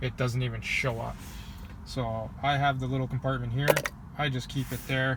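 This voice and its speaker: A man with an American accent, monotone and flat in intonation, over noticeable background noise. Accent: says he sounds American but is not. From Canada. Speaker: salesperson and car vlogger. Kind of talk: casual tutorial vlog. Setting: outdoors by a lake, near his car. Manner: casual with many fillers.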